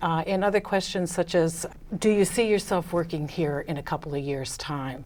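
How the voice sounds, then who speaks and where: A woman with an American accent, fairly low in pitch, at a moderate pace with ordinary pitch variation, over noticeable background noise. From United States. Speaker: business consultant. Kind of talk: interview. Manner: hesitant with many fillers.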